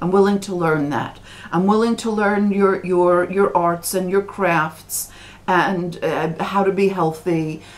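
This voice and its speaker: With an American accent, a woman talks at a fairly slow pace in a fairly low pitch with ordinary pitch variation, over noticeable background noise. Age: 60s. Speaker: religious commentator. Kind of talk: vlog monologue. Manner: halting, many repetitions.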